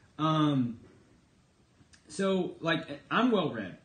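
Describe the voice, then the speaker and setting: A somewhat breathy man's voice with an American accent and ordinary pitch variation, in audible room echo. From Texas. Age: 30s. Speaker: political commentator and livestreamer. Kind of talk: casual livestream monologue. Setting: live stream broadcast. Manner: conversational, with many fillers.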